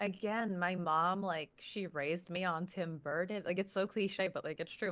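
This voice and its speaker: Fairly low-pitched woman with an American accent, fairly even intonation and a moderate pace. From New Jersey, near New York City. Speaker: social media personality. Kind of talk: interview. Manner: casual, filler-heavy.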